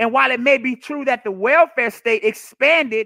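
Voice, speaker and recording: Loud and animated, a man speaks at a moderate pace with an extremely high pitch. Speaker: political commentary livestreamer. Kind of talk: solo livestream monologue. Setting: live stream. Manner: animated, with frequent repetitions.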